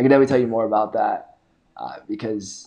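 The tone is dark and mellow. It belongs to a man. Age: 20s. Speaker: podcast host. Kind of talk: casual interview.

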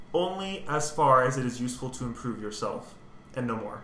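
The speaker's pitch swings very widely at a moderate pace. Audible room echo and noticeable background noise fill the recording. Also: man. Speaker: composer. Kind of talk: casual chat.

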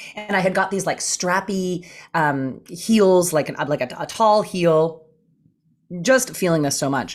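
With a Canadian accent, a woman in a normal speaking voice talks at a fairly slow pace, her fairly low pitch varying in an ordinary way. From Canada. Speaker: comedian. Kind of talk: casual chat. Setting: video call.

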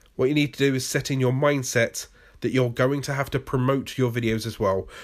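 With a British accent, a man talks at a medium pitch and a moderate pace on a very clean recording with a silent background. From Britain. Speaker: YouTube creator and podcast host. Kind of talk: solo podcast monologue, tutorial. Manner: humorous, casual, rambling.

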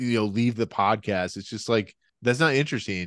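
Over a quiet background, a man at medium pitch talks at a very fast pace in an animated tone with ordinary pitch variation. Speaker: podcast host. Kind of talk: casual banter podcast chat. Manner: joking, animated.

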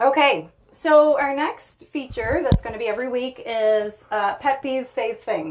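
In a Maritime Canadian accent, a woman with a high pitch speaks at a fairly slow pace with lively intonation. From Prince Edward Island, Canada. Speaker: podcast co-host. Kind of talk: casual chat. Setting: sauna.

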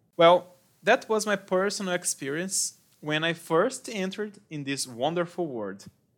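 With a Brazilian Portuguese accent, a man speaks with very wide pitch swings on a very clean recording against a silent background. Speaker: English teacher and podcast host. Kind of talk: monologue for English learners. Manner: slow.

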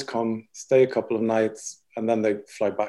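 A man speaks with a Swedish accent and a dark, mellow tone. His intonation is monotone and flat. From Sweden. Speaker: interior designer. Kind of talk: casual interview.

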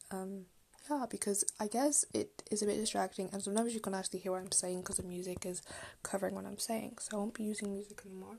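At a very fast pace, a woman speaks with a somewhat breathy, dark, mellow voice at a medium pitch, keeping her intonation fairly even. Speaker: podcast host. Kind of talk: solo podcast monologue. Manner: casual, filler-heavy.

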